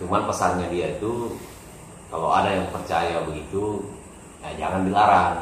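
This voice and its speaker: A man speaks with a very deep, low pitch. Audible room echo and light background noise accompany his voice. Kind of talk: casual vlog chat. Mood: relaxed, smiling. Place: home room. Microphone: camera far.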